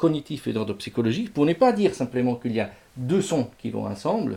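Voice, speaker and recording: A somewhat breathy man at medium pitch and moderate pace, dark and mellow in tone, with very wide pitch swings. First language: Italian (speaking French). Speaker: music lecturer. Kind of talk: lecture. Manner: halting, with frequent repetitions.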